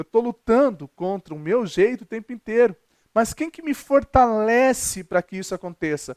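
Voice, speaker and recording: A man speaks at a high pitch with lively intonation and big swings in loudness. The recording is very clean, with a silent background and a dry, close sound with no echo. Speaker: pastor. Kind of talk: sermon. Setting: recorded video. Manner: fast.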